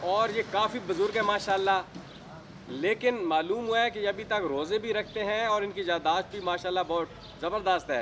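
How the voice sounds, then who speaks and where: A man's high voice shows ordinary variation in pitch. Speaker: interviewer. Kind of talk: introduction to camera.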